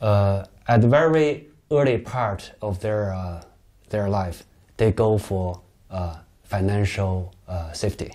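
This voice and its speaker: A man with a Chinese accent at a very slow pace and fairly low pitch, ordinary pitch variation, long, frequent pauses and a quiet background. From China, Beijing. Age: 40s. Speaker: novelist; interviewee. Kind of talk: interview. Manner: halting, many fillers. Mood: calm, reflective, sometimes smiling. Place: home room. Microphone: lapel.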